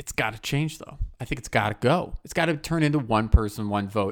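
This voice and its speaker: A man's unremarkable speaking voice at a medium pitch, with ordinary pitch variation and a fairly quick pace. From US Midwest. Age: 20s. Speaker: podcast host. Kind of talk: casual chat.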